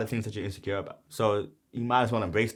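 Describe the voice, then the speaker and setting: A man speaks with an American accent at a mid-range pitch, recorded very cleanly against total silence. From New York, Brooklyn. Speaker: rapper. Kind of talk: casual explanation of own song lyrics. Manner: casual, filler-heavy.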